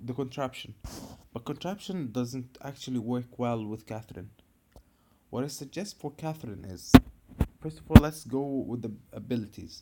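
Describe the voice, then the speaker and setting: Pausing long and often, a man with an Arabic accent speaks at a moderate pace and medium pitch in a dark, mellow tone. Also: ordinary pitch variation, big swings in loudness. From Egypt. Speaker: gaming video creator. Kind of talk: tutorial.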